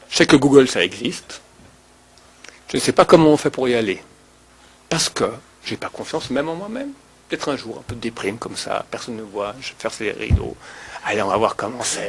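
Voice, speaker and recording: Speaking at a fairly quick pace, a man breaks his speech with long, frequent pauses while his loudness swings widely. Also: medium pitch for a man, lively intonation. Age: 40s. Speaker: rabbi. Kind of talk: lecture. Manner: animated.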